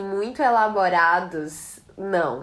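Here a woman is speaking. Her pitch is medium. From Northeast Brazil, Ceará and Rio Grande do Norte (Natal). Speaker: psychologist. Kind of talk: casual chat.

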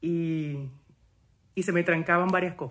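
The recording is very clean, with a silent background. A man speaks with a fairly high pitch and monotone, flat intonation. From Panama. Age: 40s. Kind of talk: testimony.

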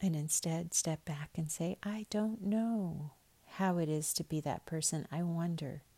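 A woman speaks fairly slowly in a fairly low, somewhat breathy voice with ordinary pitch variation. Her tone is dark, mellow, soothing and gentle, and the sound is dry and close with no echo. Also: very even loudness. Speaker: spiritual podcaster. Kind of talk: fervent morning prayer, warm spoken blessing. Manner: gentle, tender, earnest and unhurried, with heartfelt repeated wishes; soothing and sincere, cadenced like a benediction.

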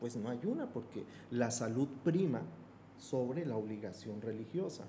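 A man speaks at a moderate pace and a medium pitch in a plain, everyday voice. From Colombia, Bogotá. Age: 50s. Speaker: Islamic affairs expert. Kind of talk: podcast interview.

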